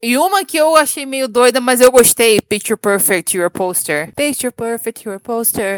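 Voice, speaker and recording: A woman talks at a moderate pace with lively intonation. She has a plain, everyday voice, and the sound is dry and close with no echo. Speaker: podcast co-host. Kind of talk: casual chat. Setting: remote recording.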